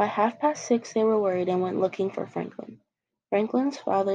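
The clip has an unforced reading voice over a quiet background.

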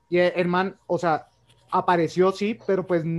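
A man with a strong Colombian accent speaks at a fairly slow pace in a high voice, his intonation fairly even. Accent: strong Cali. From Colombia, Cali. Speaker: medical professional and cinema entrepreneur. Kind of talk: casual chat.

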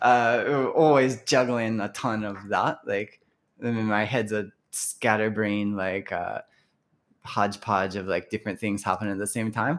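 In an American accent, a man with an unremarkable speaking voice talks fairly slowly at a fairly low pitch and with fairly even intonation, on a very clean recording with a silent background. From Kentucky, US (Louisville). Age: 40s. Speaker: musician. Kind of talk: casual interview chat.

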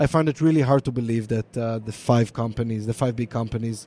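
Talking at a very fast pace, a man with an Israeli accent has a dark, mellow tone. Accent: Israeli (Hebrew-accented) English. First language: Hebrew. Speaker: DNA product manager. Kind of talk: live interview. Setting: live recording at conference with onlookers.

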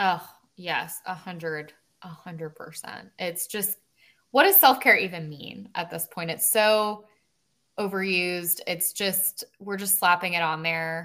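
Speaking at a fairly slow pace, a woman with a fairly low pitch and ordinary pitch variation has a bright, sharp tone and big swings in loudness. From Mississippi. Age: 30s. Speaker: psychologist. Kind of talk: casual chat.

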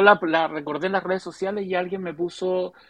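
A man with a Chilean accent speaks at a fairly quick pace. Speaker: writer and graphic novelist. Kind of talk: casual chat. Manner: halting.

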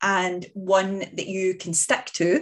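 A woman speaks in a Scottish accent at a medium pitch. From Scotland. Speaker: fitness coach podcast host. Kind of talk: solo podcast monologue. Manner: casual, hesitant with fillers.

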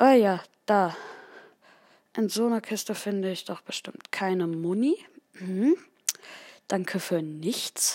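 In a dark, mellow tone, the speech moves at a very slow pace with long, frequent pauses and ordinary pitch variation. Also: woman, medium pitch for a woman. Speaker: gaming video host. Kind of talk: live gameplay commentary. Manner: halting, many fillers.

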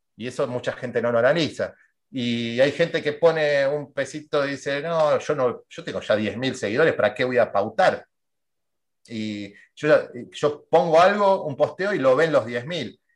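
In a quiet background, a man with a fairly high pitch speaks at a moderate pace with ordinary pitch variation, in an unremarkable speaking voice. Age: 40s. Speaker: marketing and sales consultant. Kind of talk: interview.

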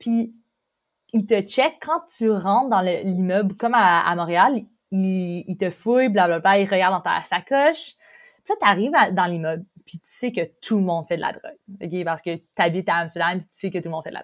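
On a very clean recording with a silent background, a woman speaks at a medium pitch with ordinary pitch variation. Her pace is moderate, broken by long, frequent pauses. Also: big swings in loudness. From Quebec, Montreal. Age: 20s. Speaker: exchange student. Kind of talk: casual chat.

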